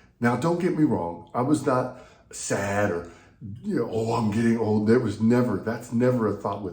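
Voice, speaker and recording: Somewhat breathy and with lively intonation, a man with an American accent and medium pitch speaks amid audible room echo. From US South (Texas/Louisiana). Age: 60s. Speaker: pastor and leadership coach. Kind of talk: devotional talk.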